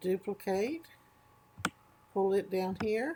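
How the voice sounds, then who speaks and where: At a very slow pace, a woman of medium pitch speaks with lively intonation. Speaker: crafting tutorial creator. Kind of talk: tutorial. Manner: slower than normal.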